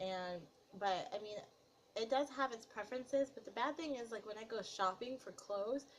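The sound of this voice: This woman's voice is nasal and fairly high. Her pitch variation is ordinary. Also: moderate pace.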